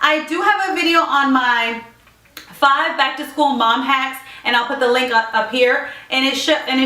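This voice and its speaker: A woman speaks in a raised, projected voice at a high pitch with ordinary pitch variation, her words carrying audible room echo over noticeable background noise. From Puerto Rico. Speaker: lifestyle vlogger. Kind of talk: casual tutorial vlog. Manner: fast.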